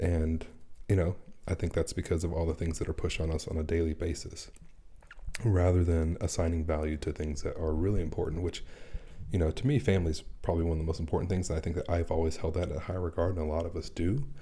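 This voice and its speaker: A man speaks quietly and very fast, his voice somewhat breathy with a very deep, low pitch. His tone is dark and mellow, with fairly even intonation. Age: 40s. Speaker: personal finance creator. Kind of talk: casual live stream chat. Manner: speaking quietly.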